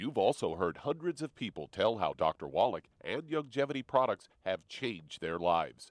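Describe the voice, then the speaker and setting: With vocal fry and very wide pitch swings, a man talks at a medium pitch and a moderate pace. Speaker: radio network announcer. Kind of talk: radio promo announcement.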